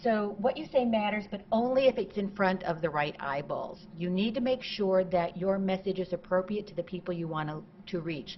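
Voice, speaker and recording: Somewhat breathy, a woman of medium pitch speaks with hardly any pauses. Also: ordinary pitch variation, moderate pace, big swings in loudness. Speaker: marketing consultant, conference speaker. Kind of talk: conference talk.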